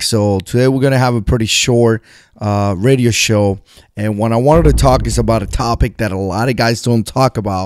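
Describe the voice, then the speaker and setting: In a plain, everyday voice, a man speaks at a medium pitch with ordinary pitch variation and a dry, close sound with no echo. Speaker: USMC veteran prepping and survival channel host. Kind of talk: radio show style talk to camera.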